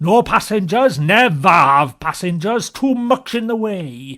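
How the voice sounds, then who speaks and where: Putting on a growling character voice, a man speaks at a fairly slow pace in a high pitch. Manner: curt, gruff.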